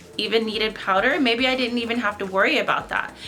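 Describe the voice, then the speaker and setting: A woman speaks at a fairly high pitch over noticeable background noise. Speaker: beauty vlogger. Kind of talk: casual makeup review to camera. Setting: seated at home in front of a camera. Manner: loud, yelling into the camera.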